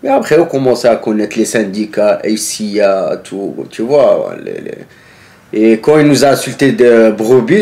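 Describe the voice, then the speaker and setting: The man has a normal speaking voice of medium pitch. He talks at a fairly slow pace. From northern France. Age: 30s. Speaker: former striking factory worker. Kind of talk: casual interview. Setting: filmed interview.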